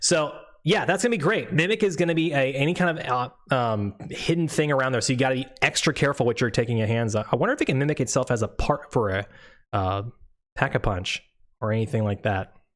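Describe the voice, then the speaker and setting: A man speaks at a very fast pace, his pitch medium and his intonation lively. The recording is very clean, with a silent background. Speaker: gaming YouTuber and streamer. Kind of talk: gameplay reveal commentary.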